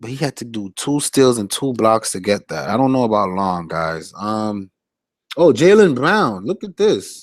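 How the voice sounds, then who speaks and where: In a West Indian accent, a man speaks fairly slowly with lively intonation at a medium pitch. The recording is very clean with a silent background. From Flatbush, Brooklyn, New York, West Indian family. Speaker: fantasy sports analyst streamer. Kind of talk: live stream chat analysis. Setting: live stream reading chat. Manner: casual, hesitant with fillers.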